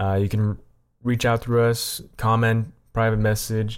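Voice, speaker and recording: A very clean recording with a silent background, featuring a plain, everyday voice at a moderate pace. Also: man. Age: 20s. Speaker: podcast co-host. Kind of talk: casual chat.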